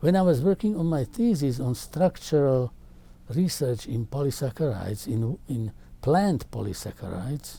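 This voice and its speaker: A man with a Slovak accent speaks at a moderate pace, somewhat breathy, at a fairly high pitch. His tone is dark and mellow, with very wide pitch swings. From Czechoslovakia. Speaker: carbohydrate chemist. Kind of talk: interview answer.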